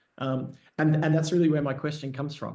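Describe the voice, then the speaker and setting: Somewhat breathy and fairly even in intonation, this voice has an Australian accent, with audible room echo around it. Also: man. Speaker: service designer. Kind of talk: Q&A discussion. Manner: halting, many fillers.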